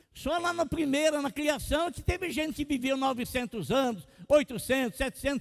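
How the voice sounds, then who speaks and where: A man's extremely high pitch with ordinary pitch variation, at a moderate pace. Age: 60s. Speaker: pastor. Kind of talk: sermon.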